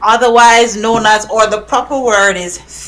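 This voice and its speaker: Over noticeable background noise, a woman with a Jamaican accent speaks at a fairly high pitch. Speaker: podcast host. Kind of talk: casual podcast conversation.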